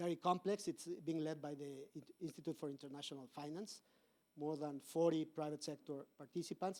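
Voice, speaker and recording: Fairly quick and fairly even in intonation, a man speaks at a fairly high pitch. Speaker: corporate policy advisor, conference speaker. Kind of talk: conference talk. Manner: halting, many fillers and repetitions.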